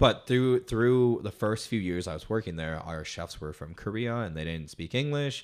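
A man speaks at a moderate pace in an unremarkable speaking voice with fairly low pitch and an American accent. His intonation is lively, he hardly pauses, and the recording is very clean with a silent background. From Colorado, US. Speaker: photographer and musician. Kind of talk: casual chat.

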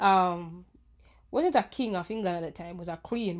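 A woman's fairly quick, lively-intoned speech on a very clean recording with a silent background. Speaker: podcast host. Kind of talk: casual chat. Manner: animated.

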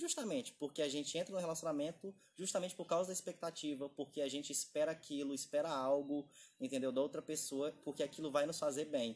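This man talks very fast. The rise and fall of his pitch is ordinary. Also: fairly high pitch for a man. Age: 20s. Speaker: podcast co-host. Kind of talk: casual chat.

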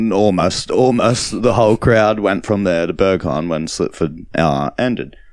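A man's Australian accent, fairly slow pace and ordinary pitch variation. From Australia, Gold Coast (Nerang). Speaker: DJ and record label owner. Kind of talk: interview. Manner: halting, many fillers.

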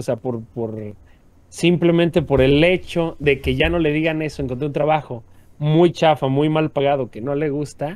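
This is a plain, everyday voice from a man, pitched fairly high. He keeps a moderate pace with ordinary pitch variation. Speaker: podcast co-host. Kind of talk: casual chat.

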